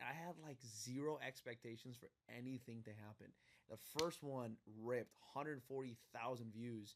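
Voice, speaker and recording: The tone is animated and the pace is moderate. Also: man, medium pitch for a man. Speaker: podcast host. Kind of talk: casual interview. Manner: loud.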